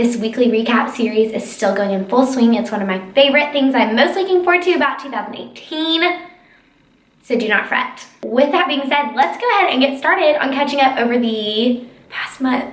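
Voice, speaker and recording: An animated, high-pitched woman's voice with an American accent, fairly quick and lively in intonation, amid noticeable background noise and audible room echo. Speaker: lifestyle blogger and YouTuber. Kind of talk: casual vlog chat. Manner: fast.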